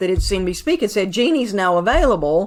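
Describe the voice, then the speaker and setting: A woman speaks at a medium pitch. She has a Southern US accent. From US South, Atlanta. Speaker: CPA and accounting advisor. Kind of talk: podcast interview.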